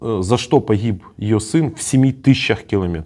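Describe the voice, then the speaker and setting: At a fairly slow pace, a man talks with a dark, mellow tone. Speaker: journalist interviewing prisoners of war. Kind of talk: interview questions.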